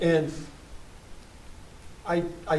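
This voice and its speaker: Someone with an American accent talks amid noticeable background noise and audible room echo. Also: man. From West Virginia (Charleston area). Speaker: poet and playwright. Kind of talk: post-performance Q&A discussion. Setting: small theater with live audience, no sound system. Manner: halting, many repetitions and fillers.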